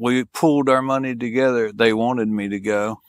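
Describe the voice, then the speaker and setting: With a Southern US accent, a man talks at a moderate pace and medium pitch, his intonation fairly even, in a dry, close recording with no echo. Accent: Southern American. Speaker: police officer and war veteran. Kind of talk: casual interview. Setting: in-person interview.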